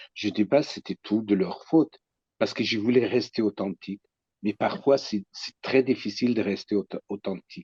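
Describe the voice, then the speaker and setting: A man's fairly low, dark, mellow voice in a Kurdish accent, at a moderate pace with ordinary pitch variation and big swings in loudness, dry and close with no echo. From Iraqi Kurdistan. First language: Kurdish (speaking French). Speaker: psychoanalyst. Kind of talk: personal testimony. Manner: halting.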